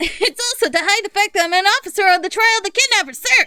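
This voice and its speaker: A woman shouting loudly in a put-on character voice, extremely high-pitched and very fast. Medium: game stream. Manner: shouty, ends sentences with "sir!".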